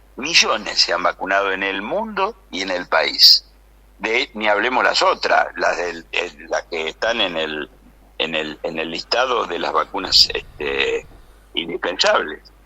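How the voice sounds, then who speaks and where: Noticeable background noise fills the recording. A man talks at a very slow pace. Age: 80s+. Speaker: biochemist. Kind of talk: radio interview. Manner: animated.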